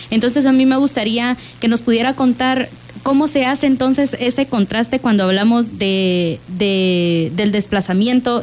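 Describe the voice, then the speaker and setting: Over noticeable background noise, a woman with a fairly high pitch talks at a moderate pace, with ordinary pitch variation and very even loudness. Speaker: radio host. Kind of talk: radio talk show. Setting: radio studio.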